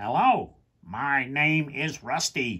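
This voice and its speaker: This is a robotic, put-on character voice. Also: man, fairly high pitch for a man. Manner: happy.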